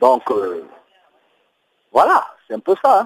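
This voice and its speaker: The man talks at a fairly slow pace. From Cameroon. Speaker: diaspora activist. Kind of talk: interview. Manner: hesitant, many fillers.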